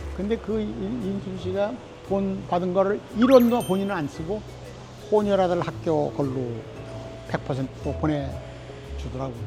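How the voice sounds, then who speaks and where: With music playing behind him, the man's delivery is fairly slow. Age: 80s+. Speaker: Korean War veteran, former government minister. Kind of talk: interview answer, storytelling. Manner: casual, conversational.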